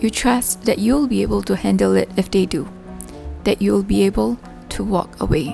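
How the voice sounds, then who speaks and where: Over music in the background, a woman with a very deep, low pitch speaks in a calm tone at a moderate pace, her pitch swinging very widely. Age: 30s. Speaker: vlogger. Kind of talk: reflective vlog voice-over. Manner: calm, reflective.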